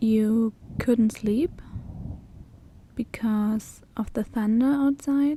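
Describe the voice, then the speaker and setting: A woman with a German accent, fairly high in pitch yet dark and mellow in tone, somewhat breathy, at a very slow pace with long, frequent pauses and fairly even intonation. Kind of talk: ASMR roleplay. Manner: soft-spoken, comforting.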